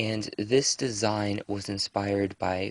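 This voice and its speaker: The voice is soft-spoken, with a dry, close sound and no echo. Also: man, quiet background. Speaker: pagan craft vlogger. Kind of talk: casual show-and-tell vlog. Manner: soft, quiet speaking.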